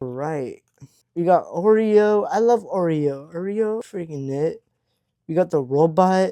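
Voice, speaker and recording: A man speaks at a high pitch in an animated tone. His intonation is lively. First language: Hebrew. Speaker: YouTuber. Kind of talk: unboxing vlog. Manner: casual, animated.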